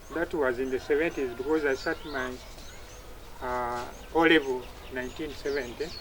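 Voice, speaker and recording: The speaker keeps fairly even intonation at a moderate pace, with long, frequent pauses and noticeable background noise. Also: man, medium pitch for a man. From Uganda. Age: 70s. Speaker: retired army officer. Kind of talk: interview. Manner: halting.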